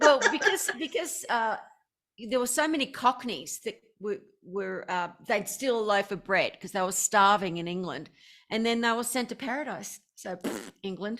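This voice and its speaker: Over a silent background in a very clean recording, a woman with a fairly high pitch speaks at a moderate pace with lively intonation. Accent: strong Australian. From Australia. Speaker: motivational speaker. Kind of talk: casual chat. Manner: animated.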